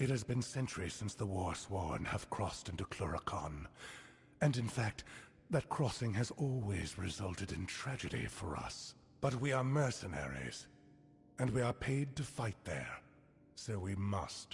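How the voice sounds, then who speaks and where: Doing a put-on character voice, a man speaks at a fairly low pitch with very wide pitch swings. His pace is moderate, and clear background noise can be heard. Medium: video game. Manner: stern, formal, measured.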